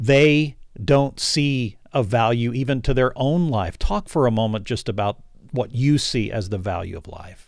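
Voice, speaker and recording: A man speaks at a fairly slow pace in a normal speaking voice. His pitch is medium. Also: lively intonation, very clean recording, silent background. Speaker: radio host. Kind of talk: radio interview.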